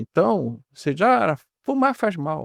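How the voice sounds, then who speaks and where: This man's pitch swings very widely. The sound is dry and close, with no echo. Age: 70s. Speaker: physician. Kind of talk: interview.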